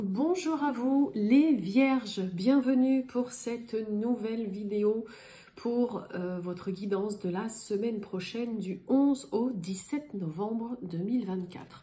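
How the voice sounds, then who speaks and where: A woman with a fairly high voice talks very slowly, her pitch varying in an ordinary way. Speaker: tarot card reader. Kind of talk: astrology guidance reading. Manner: hesitant, many filler sounds.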